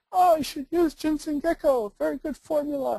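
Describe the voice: A female-sounding put-on character voice, high-pitched, at a moderate pace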